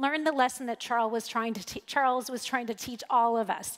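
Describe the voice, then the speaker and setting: Over a quiet background, a woman is talking. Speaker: conference speaker. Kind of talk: keynote talk. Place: stage. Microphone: headset.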